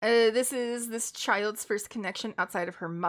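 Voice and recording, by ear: The pitch varies in an ordinary way as a natural voice reads aloud.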